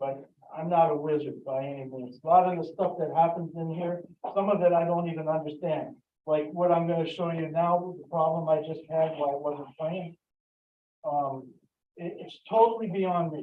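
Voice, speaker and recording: A man's high-pitched voice at a moderate pace with fairly even intonation. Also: big swings in loudness. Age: 60s. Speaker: hobbyist presenter at a computer convention. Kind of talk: live demonstration talk. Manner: halting, many fillers.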